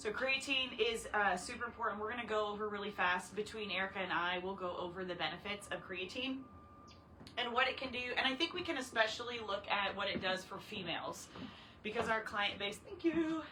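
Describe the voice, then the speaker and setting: Amid noticeable background noise and audible room echo, a woman talks at a fairly quick pace with a fairly high pitch, lively intonation and an animated tone. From Canada. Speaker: fitness trainer. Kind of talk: casual chat. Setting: livestream.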